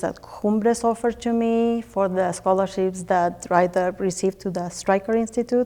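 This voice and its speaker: A woman in a Spanish accent, medium-pitched and dark, mellow in tone, at a moderate pace with fairly even intonation. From Spanish-speaking country, immigrated to US. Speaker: teacher. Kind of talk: interview.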